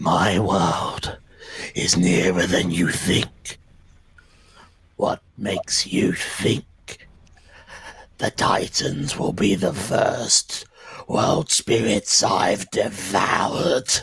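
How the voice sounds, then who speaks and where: A put-on character voice whispers at a very slow pace, raspy and with a menacing tone. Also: man. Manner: menacing, defiant; whispering.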